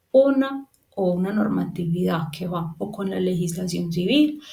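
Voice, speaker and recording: A woman with a fairly low pitch speaks in a plain, everyday voice. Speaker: property management instructor. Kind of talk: lecture. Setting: recorded remote class.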